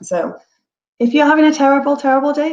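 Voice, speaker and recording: A woman speaks at a fairly quick pace with an English accent. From England. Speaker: real estate broker. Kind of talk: webinar presentation. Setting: online webinar.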